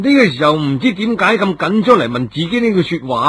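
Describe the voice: A passage in plain reading aloud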